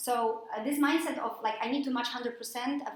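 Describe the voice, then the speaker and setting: This woman speaks with a Polish accent. Her pitch is fairly high. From Poland. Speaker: freelance mentor and coach. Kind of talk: presentation to a workshop audience.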